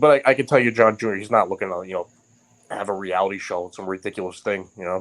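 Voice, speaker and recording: A man with a New York accent speaks at a very fast pace with ordinary pitch variation. The recording is very clean, with a silent background. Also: fairly low pitch for a man. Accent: Queens New York. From New York, Queens (North Bayside). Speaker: writer and podcast guest. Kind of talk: casual chat. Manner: halting, many restarts.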